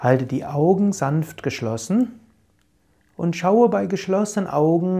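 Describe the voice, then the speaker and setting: A man's high-pitched voice, calm and gentle in tone, dark and mellow, with lively intonation at a very slow pace. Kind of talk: guided meditation. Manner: calm, gentle, soothing; slow, measured, with repeated phrases.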